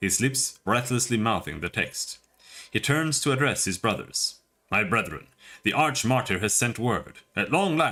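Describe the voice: Ordinary pitch variation in plain reading aloud, over a quiet background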